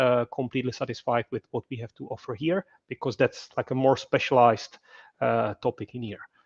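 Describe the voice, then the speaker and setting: Speaking with a Czech accent, a man talks at a fairly quick pace with fairly even intonation. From Czech Republic. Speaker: podcast host. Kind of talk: live webinar interview.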